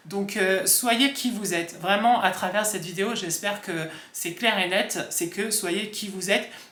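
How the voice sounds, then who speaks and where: A man with a high pitch projects a raised voice at a fairly slow pace, his intonation fairly even. There is audible room echo and noticeable background noise. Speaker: vlogger. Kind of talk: casual talk to camera. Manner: hesitant, many fillers.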